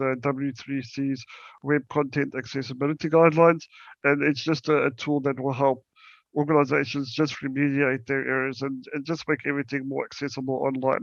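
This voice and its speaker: In a South African accent, the speaker talks at a fairly quick pace with monotone, flat intonation. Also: man. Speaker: accessibility company account manager, wheelchair user. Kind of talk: presentation talk. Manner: halting, many fillers and repetitions.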